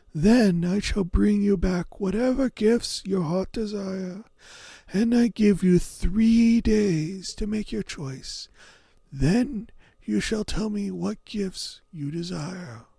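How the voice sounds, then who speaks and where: A man puts on a character voice, pitched high. He speaks at a very slow pace. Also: very clean recording, silent background. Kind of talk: fairy-tale storytelling. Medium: read story. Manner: formal, archaic, measured.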